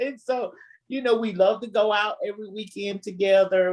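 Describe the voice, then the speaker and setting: A Southern US accent colors the speech. It moves at a medium speed. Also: woman. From US South. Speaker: married guest on relationship show. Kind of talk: casual interview chat.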